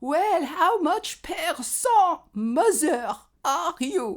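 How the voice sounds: In a put-on character voice with a strong French accent, the speaker goes at a very slow pace with extremely high pitch. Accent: thick French.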